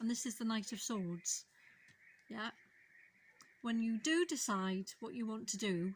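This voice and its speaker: In a Welsh accent, a woman speaks fairly slowly in a fairly high, somewhat breathy voice with ordinary pitch variation. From Wales. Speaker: tarot reader. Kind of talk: tarot reading to camera.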